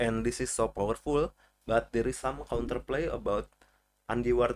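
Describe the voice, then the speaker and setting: A man speaking at a moderate pace with a non-native accent. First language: not English. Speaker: video game guide creator. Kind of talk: tutorial. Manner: halting.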